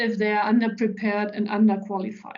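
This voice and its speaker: Pitched fairly high, a woman speaks with a German accent. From central Germany, rural. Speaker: business executive. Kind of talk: interview talk.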